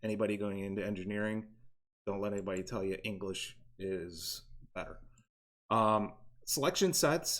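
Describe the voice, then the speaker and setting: A man talks at a moderate pace with a medium pitch. The recording is very clean, with a silent background. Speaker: robotics team mentor teaching CAD. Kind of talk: tutorial. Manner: hesitant, many fillers.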